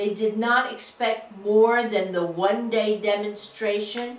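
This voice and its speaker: Against noticeable background noise, a woman speaks at a fairly slow pace with a fairly high pitch and fairly even intonation. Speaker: social studies teacher. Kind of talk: interview answer.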